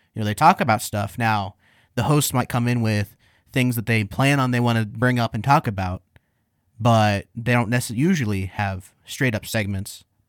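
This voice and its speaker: A man speaks at a moderate pace in an unremarkable speaking voice, medium in pitch with ordinary pitch variation. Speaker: producer. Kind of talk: casual chat. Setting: studio.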